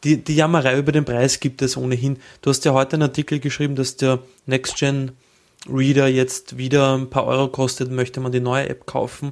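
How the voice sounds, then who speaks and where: A man with a Viennese accent, medium pitch, monotone, flat intonation and a fairly quick pace, on a very clean recording with a silent background. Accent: Viennese Austrian German. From Austria. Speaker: podcast co-host. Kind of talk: casual chat.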